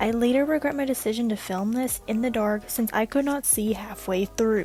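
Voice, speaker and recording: Calm and relaxed in tone, a woman with a fairly high pitch talks at a moderate pace with ordinary pitch variation and very even loudness over noticeable background noise. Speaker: journaling YouTuber. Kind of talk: voiceover narration of a craft video. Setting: recorded at night while others sleep. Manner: calm, relaxed.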